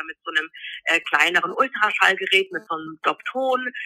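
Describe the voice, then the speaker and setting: In a normal speaking voice, a woman talks at a moderate pace. Her medium pitch carries lively intonation. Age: 40s. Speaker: midwife. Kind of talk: interview.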